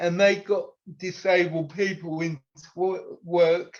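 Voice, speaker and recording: A man speaks in a British accent at a high pitch. His intonation is monotone and flat. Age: 50s. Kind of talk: interview.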